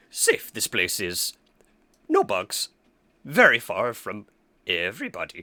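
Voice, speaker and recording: Using a put-on character voice, a man speaks fairly slowly with long, frequent pauses. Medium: actual play.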